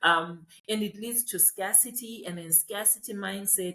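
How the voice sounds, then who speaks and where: A woman talks at a medium pitch, somewhat breathy. Her pace is fairly slow. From rural Zimbabwe. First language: Ndebele or another Zimbabwean language. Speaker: farmer and educator. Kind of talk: casual chat.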